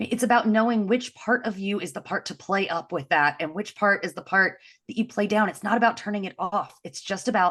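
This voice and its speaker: A woman at a fairly quick pace, animated in tone, with ordinary pitch variation. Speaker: engineering leadership coach. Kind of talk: podcast interview. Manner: loud.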